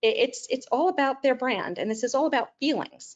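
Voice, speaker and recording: A woman speaks at a high pitch with lively intonation. Her pace is fairly quick. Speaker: webinar presenter, business executive. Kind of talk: webinar presentation. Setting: online webinar. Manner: fast.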